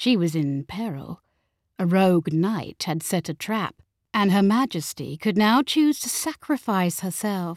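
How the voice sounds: The background is quiet here. A natural reading voice delivers the lines with lively intonation.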